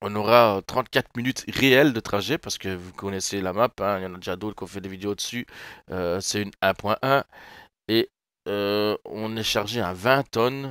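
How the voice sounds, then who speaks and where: A man with a German accent at a moderate pace, fairly low in pitch with ordinary pitch variation, in a very clean recording with a silent background and a dry, close sound with no echo. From Germany, Rhineland-Palatinate area. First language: German (bilingual French-German) (speaking French). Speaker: gaming YouTuber, former truck driver. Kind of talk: casual gameplay commentary. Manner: hesitant, many fillers.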